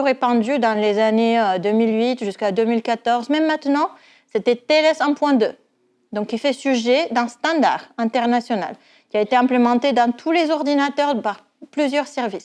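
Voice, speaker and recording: A woman with a slight non-native accent speaks in a high pitch at a moderate pace, with ordinary pitch variation, against a quiet background. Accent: slight foreign accent in French. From Netherlands. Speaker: university lecturer and cryptography researcher. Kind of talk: research pitch presentation. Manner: some hesitations and fillers.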